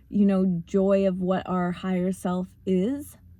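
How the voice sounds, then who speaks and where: A woman talks in a dark, mellow tone with a somewhat breathy quality. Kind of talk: motivational talk. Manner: casual, with fillers.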